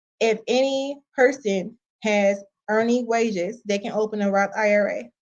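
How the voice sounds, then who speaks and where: A woman with an American accent has an unremarkable speaking voice at a fairly high pitch. Her intonation is fairly even, over a quiet background. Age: 30s. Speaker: personal finance and travel vlogger. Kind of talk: live-streamed tutorial. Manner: casual.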